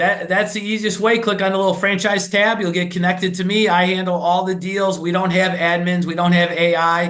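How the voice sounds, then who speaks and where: The speaker has a Chicago accent and talks at a fairly quick pace. Audible room echo is present. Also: man. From Chicago, US. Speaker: restaurant franchise executive. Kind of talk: podcast interview. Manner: fast, words blurred together; animated.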